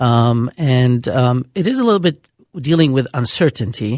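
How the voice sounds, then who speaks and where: Here a man talks with a Lebanese accent. The sound is dry and close, with no echo. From Lebanon. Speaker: rheumatologist. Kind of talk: call-in radio health talk. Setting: radio studio.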